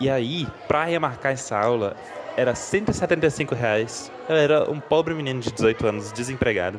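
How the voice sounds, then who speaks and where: Noticeable background noise fills the space around this man. He speaks at a moderate pace. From Brasília, Brazil. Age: 20s. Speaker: listener sending a story. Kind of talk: casual personal anecdote. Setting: recorded voice message.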